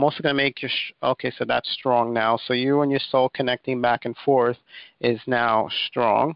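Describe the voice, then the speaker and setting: A man talks at a medium pitch with monotone, flat intonation. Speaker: energy healing practitioner. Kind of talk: live call-in healing session. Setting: phone conference call. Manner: fast.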